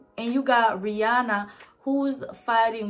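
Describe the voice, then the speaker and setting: A woman's fairly high voice carries an animated tone while noticeable background noise plays behind it. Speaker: YouTuber, brand commentator. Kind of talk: casual vlog commentary.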